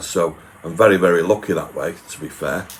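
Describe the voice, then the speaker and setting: A man speaks with a Manchester accent. His pace is fairly slow. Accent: Manchester area English. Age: 60s. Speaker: YouTuber doing food reviews. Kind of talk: live stream chat reading viewer comments.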